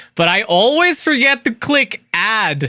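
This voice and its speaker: A man's raised, projected voice, bright and sharp in tone, with very wide pitch swings at a fairly slow pace. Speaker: streamer. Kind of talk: casual chat.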